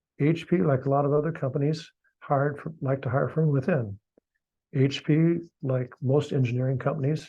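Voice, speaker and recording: A man's somewhat breathy, fairly high voice with a dark, mellow tone, fairly even intonation and a moderate pace. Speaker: retired engineer presenter. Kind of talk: lecture.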